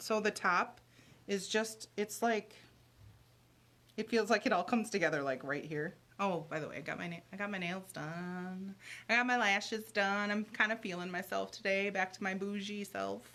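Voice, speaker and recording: Loud and bright with a sharp tone, a woman speaks at a medium pitch and a moderate pace with ordinary pitch variation. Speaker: livestream host. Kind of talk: casual chat. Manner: chatty, rambling.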